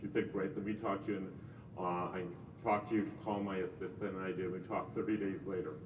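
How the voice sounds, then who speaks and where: At a very fast pace, a man with fairly low pitch and fairly even intonation speaks amid noticeable background noise and audible room echo. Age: 60s. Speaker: real estate agent. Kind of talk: casual chat.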